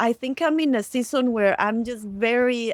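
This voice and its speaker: A woman with a Latin American accent and fairly even intonation, in a dry, close sound with no echo. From Costa Rica. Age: 40s. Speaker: storyteller and community builder. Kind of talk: podcast interview.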